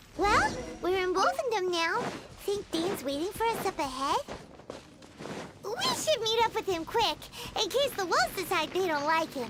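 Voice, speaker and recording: An extremely high, put-on character voice moves at a moderate pace with long, frequent pauses over clear background noise. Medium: video game. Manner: chatty, curious.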